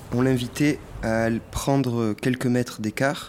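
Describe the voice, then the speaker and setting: This man's pitch stays in the middle range. His speech changes little in intonation. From Provence, France (Cavaillon). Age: young. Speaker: artist in residence. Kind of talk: documentary interview.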